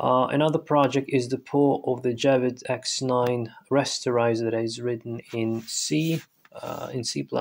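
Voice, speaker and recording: Fairly even intonation marks a man's speech with a non-native accent. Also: medium pitch for a man. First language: non-native English speaker. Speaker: programming YouTuber. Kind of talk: tutorial. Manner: hesitant, many fillers.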